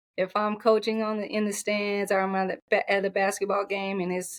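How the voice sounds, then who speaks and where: A woman with an American accent, medium in pitch, at a moderate pace. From Oklahoma. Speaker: basketball and track coach. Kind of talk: interview. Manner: soft-spoken.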